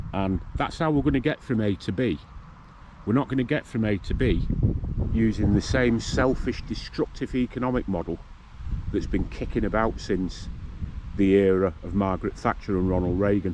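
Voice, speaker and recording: A fairly low-pitched man with a northern English accent at a moderate pace, with long, frequent pauses. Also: ordinary pitch variation. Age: 60s. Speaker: vlogger. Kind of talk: casual monologue. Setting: outdoors.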